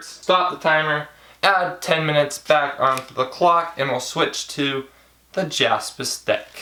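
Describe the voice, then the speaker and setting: Noticeable background noise sits under a man's fairly high voice, which moves at a fairly slow pace with fairly even intonation. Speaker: video creator showing playing card decks. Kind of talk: casual, chatty. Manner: loud, announcer-like delivery when filming.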